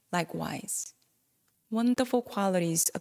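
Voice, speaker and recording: Recorded very cleanly against a silent background, a woman with a non-native accent speaks at a fairly slow pace, the sound dry and close with no echo. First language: not English. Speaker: Buddhist dharma talk speaker. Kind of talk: dharma talk.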